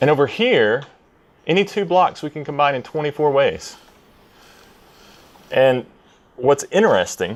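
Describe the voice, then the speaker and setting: A man with a Tennessee accent speaks at a moderate pace, his pitch fairly high and his intonation lively. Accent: Tennessee Southern. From US South, Tennessee. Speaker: software developer, conference speaker. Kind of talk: conference talk. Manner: hesitant, many fillers.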